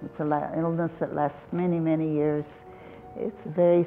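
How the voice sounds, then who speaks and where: Music plays in the background as a woman with an American accent talks at a moderate pace. Her voice is fairly low, with fairly even intonation. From California, US. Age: 80s+. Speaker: retired nurse, disease advocate. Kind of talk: interview. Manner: halting.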